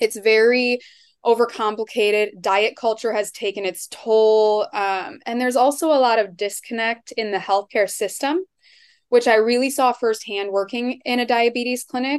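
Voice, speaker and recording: In a quiet background, a woman with an American accent talks at a moderate pace with ordinary pitch variation, a plain, everyday voice. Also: fairly high pitch for a woman. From Iowa. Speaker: dietitian. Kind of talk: podcast interview.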